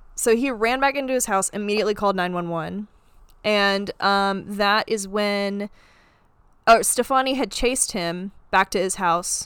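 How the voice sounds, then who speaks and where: A woman with an unremarkable speaking voice and medium pitch talks at a moderate pace in a very clean recording with a silent background. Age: 20s. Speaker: true crime podcast host. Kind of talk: storytelling casual chat.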